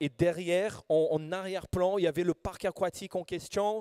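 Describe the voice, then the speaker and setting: A man's high, monotone voice with flat intonation and a Brazilian accent at a fairly quick pace, with a dry, close sound with no echo on a very clean recording with a silent background. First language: Portuguese (speaking French). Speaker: preacher. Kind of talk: sermon. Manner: halting.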